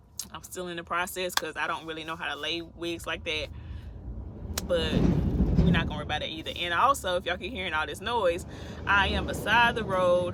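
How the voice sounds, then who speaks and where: Fairly quick and fairly low in pitch, a woman speaks with ordinary pitch variation over noticeable background noise. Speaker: truck driver and vlogger. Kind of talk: casual vlog talk. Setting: parked in truck beside the road. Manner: chatty, informal.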